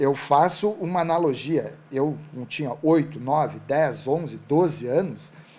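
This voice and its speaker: Fairly high-pitched and with vocal fry, a man talks at a fairly slow pace with fairly even intonation and hardly any pauses. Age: 60s. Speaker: entrepreneur. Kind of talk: talk show interview.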